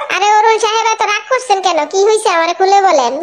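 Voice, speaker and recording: Squeaky and extremely high-pitched, this is a cartoonish character voice. It moves along at a fairly quick pace. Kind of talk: comic cartoon voice acting. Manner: unflappable, deadpan.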